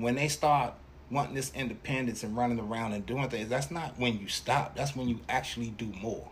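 A man speaks at a medium pitch with ordinary variation and some vocal fry. His moderate pace is heard with audible room echo. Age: 50s. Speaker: father of the host, podcast guest. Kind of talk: casual chat.

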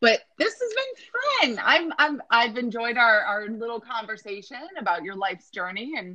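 A woman in a plain, everyday voice talks at a moderate pace with hardly any pauses, her fairly high pitch showing ordinary pitch variation amid big swings in loudness. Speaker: podcast host. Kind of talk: casual interview.

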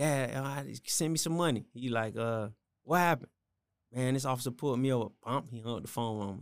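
A man with an American accent speaks at a moderate pace and medium pitch, with ordinary pitch variation. The recording is very clean, with a silent background. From Miami, Florida. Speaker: gospel rapper. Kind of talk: casual interview chat.

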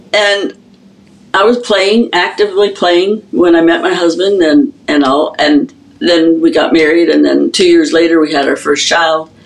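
With noticeable background noise behind her, a woman speaks at a fairly slow pace in a fairly low pitch, her pitch varying in an ordinary way. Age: old. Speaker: drummer and drum instructor. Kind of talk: casual interview.

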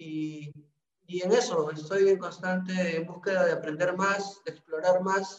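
The delivery is fairly slow. The intonation is fairly even. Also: man, high pitch for a man. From Peru, Trujillo. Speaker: business incubator coordinator. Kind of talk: interview. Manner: halting.

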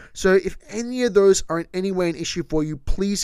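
The voice belongs to a man. His pitch moves up and down in an ordinary way. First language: not Japanese; speaks English natively. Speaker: podcast host and storyteller. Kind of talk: solo storytelling podcast narration. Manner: casual, with occasional laughs and self-corrections.

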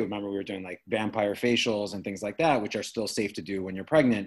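A man with an American accent speaks in a fairly low pitch with ordinary pitch variation. It is a plain, everyday voice. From US Midwest, Chicago. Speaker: skincare business owner. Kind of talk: casual interview. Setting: remote call.

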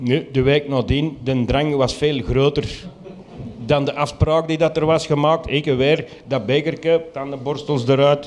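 There is noticeable background noise around this man's voice. He talks at a moderate pace with a fairly high pitch and fairly even intonation. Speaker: storyteller. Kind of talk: live storytelling. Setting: stage with audience.

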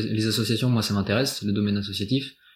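A man speaks at a fairly quick pace. His fairly low pitch stays monotone and flat. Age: 20s. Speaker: student volunteer listener. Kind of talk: casual interview. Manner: halting.

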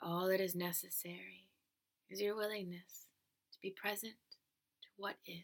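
A woman with a soothing, calm tone speaks in a monotone, flat intonation, with long, frequent pauses and big swings in loudness. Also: medium pitch for a woman. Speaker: meditation guide. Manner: slow, soothing, calm and measured, with long pauses between short phrases.

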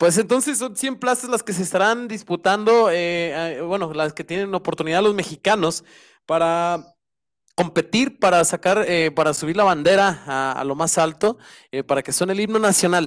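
In a very clean recording with a silent background, a man talks at a moderate pace in a high pitch, with ordinary variation in his pitch. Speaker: basketball section commentator. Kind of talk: casual sports talk.

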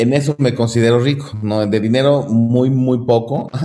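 A man speaks with a Mexican accent at a medium pitch. His tone is dark and mellow, with ordinary pitch variation. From Mexico. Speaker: classical guitarist. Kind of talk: casual interview. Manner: hesitant, many fillers and repetitions.

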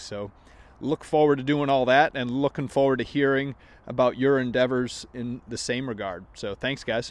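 A man talks in an ordinary speaking voice with an American accent. His intonation is fairly even and his pace moderate. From Maine, US. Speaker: golf podcast host. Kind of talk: casual vlog-style monologue.

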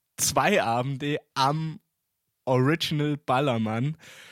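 A man with a fairly high pitch and ordinary pitch variation speaks at a very slow pace. The sound is dry and close with no echo, in a very clean recording with a silent background. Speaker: podcast co-host. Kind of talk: casual chat.

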